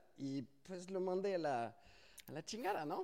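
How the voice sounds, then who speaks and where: A man with a slight French accent. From France. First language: French (speaking Spanish). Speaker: SEO agency founder. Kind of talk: interview. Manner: hesitant with many fillers.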